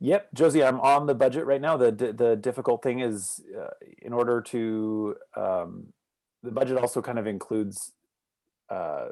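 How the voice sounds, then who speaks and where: A man at medium pitch with a dark, mellow tone, moderate pace and ordinary pitch variation, over a quiet background. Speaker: neighborhood association member. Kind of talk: community meeting presentation.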